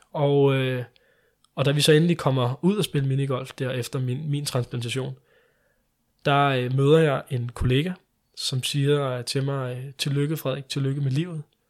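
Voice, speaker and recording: Over a silent background in a very clean recording, a man speaks fairly slowly at a fairly high pitch in a monotone, flat delivery. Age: 20s. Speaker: liver transplant recipient. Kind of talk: interview.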